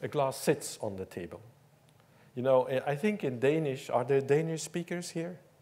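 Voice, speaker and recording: With a Dutch accent, a man talks at a moderate pace in a fairly high pitch with lively intonation. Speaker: professor. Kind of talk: lecture. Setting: stage with audience.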